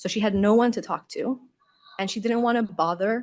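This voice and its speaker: A woman with a non-native accent. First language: not English. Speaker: UX designer. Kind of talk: conference Q&A answer. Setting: conference stage with audience.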